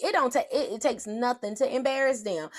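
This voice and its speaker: A woman speaks loudly in a high, animated tone with lively intonation. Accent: strong Southern US. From US South. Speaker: motivational speaker. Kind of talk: motivational livestream talk.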